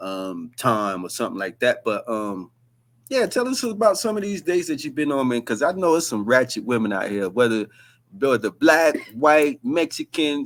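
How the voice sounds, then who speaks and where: At a moderate pace, a man with a fairly high voice swings his pitch very widely on a very clean recording with a silent background. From North Carolina. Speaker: podcast host. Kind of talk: casual chat.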